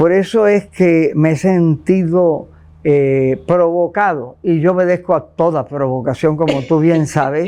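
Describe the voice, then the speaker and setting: At a fairly slow pace, a man speaks in a high pitch with a dark, mellow tone, ordinary pitch variation and very even loudness. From Puerto Rico, Santurce. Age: 80s+. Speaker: visual artist. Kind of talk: interview.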